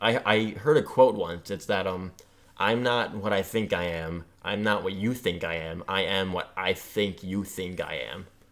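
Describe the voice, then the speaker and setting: This man has a normal speaking voice, fairly low in pitch. He talks at a fairly slow pace with ordinary pitch variation. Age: 20s. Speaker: podcast co-host. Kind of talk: casual chat.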